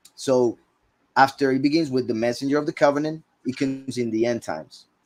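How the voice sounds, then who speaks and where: Using an ordinary speaking voice, a man delivers his words fairly quickly, his mid-range pitch staying fairly level. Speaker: bible teacher. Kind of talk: scripture teaching.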